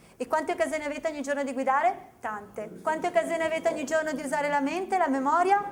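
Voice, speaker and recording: In a Venetian accent, a woman with a high pitch talks very fast in an animated tone, with ordinary pitch variation. Background noise is noticeable. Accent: Veneto. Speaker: memory technique trainer. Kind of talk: seminar presentation to an audience. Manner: animated, conversational.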